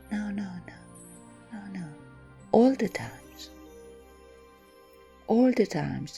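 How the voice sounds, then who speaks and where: Over music in the background, a soft-spoken woman speaks at a very slow pace. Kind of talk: reflective commentary.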